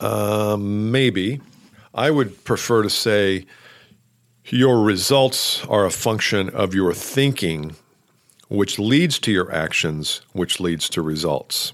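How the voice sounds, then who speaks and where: Very slow speech with lively intonation on a very clean recording with a silent background. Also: man, fairly low pitch for a man. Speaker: sales coach podcaster. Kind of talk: solo podcast talk. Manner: loud, not well modulated.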